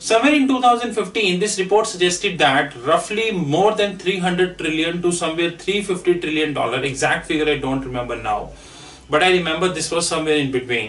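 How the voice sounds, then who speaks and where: A man with high pitch and lively intonation at a moderate pace. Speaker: finance trainer. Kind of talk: lecture. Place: classroom.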